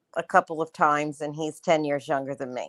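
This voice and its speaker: The speaker is a woman. Her voice sounds dry and close, without any echo. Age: 60s. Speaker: caller. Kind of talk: call-in question.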